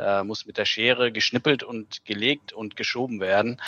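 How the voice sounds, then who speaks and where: The voice belongs to a man with a fairly low pitch. He speaks at a moderate pace. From Germany, near Bielefeld. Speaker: graphic designer. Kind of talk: interview.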